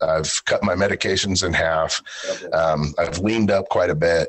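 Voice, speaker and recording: A man keeps a moderate pace while noticeable background noise plays underneath. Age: 40s. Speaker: real estate agent and Santa performer. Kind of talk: interview.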